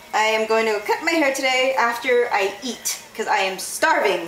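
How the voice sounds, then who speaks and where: A woman speaks with lively intonation. Music plays behind her in a room with audible echo. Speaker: vlogger. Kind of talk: casual vlog while cooking. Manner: fast.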